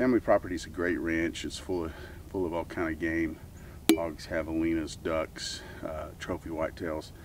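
A man speaks at a moderate pace over loud background noise. The sound is dry, with no echo. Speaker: website host. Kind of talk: casual outdoor talk to camera. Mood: calm, slightly wistful. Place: open country.

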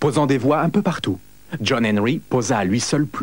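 Lively intonation in an unforced reading voice.

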